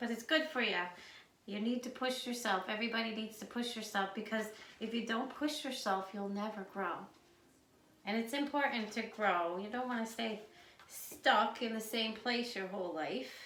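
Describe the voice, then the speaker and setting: A woman with a Newfoundland accent speaks at a moderate pace, her fairly high pitch showing ordinary variation. Audible room echo and noticeable background noise fill the recording. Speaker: home cooking video host. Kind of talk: cooking tutorial. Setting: home kitchen. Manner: casual, chatty.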